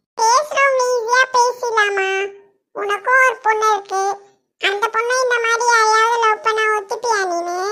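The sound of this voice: A woman does a cartoonish character voice at an extremely high pitch. She speaks very slowly with fairly even intonation.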